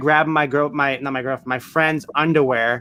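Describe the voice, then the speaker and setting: Noticeable background noise surrounds a man with an American accent. He speaks very fast at a fairly high pitch. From Massachusetts, north of Boston. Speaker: reseller podcast co-host. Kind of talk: casual chat.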